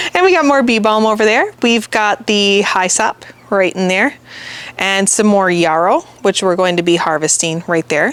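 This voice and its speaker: A woman's medium-pitched voice at a moderate pace, with ordinary pitch variation and very even loudness. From US Midwest. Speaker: gardener and channel host. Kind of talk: garden tour walkthrough. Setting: outdoors in the garden. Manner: casual, chatty.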